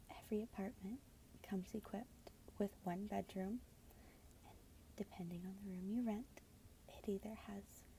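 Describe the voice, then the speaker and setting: Soft-spoken, the speaker keeps a moderate pace with long, frequent pauses. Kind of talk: read story.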